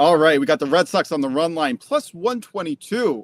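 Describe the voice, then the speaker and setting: Lively intonation and an American accent come through at a moderate pace, with a dry, close sound and no echo. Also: man. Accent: slight New York accent at times. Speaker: sports betting show co-host. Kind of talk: casual chat.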